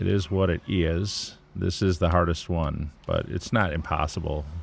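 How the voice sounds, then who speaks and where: A man's very deep, low-pitched voice. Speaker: gaming livestreamer. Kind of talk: gameplay livestream commentary. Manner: casual, hesitant with fillers.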